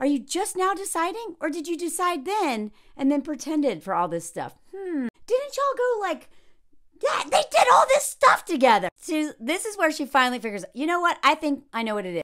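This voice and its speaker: Quiet background, and a woman with an American accent, high pitch, very wide pitch swings and a fairly quick pace. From US South. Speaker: video creator and dating commentator; reaction commentator. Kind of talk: opinionated commentary. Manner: animated. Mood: incredulous, exasperated. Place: home room. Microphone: phone near.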